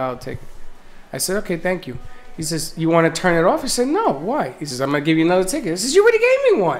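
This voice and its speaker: This speaker has a Bronx accent. The pace is very fast. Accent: Bronx New York. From Bronx, New York.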